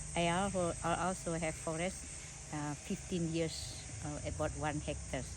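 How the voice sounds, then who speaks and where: The woman speaks at a moderate pace, with audible room echo. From West Sumatra, Indonesia. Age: 70s. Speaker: villager, landowner. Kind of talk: casual interview. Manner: halting.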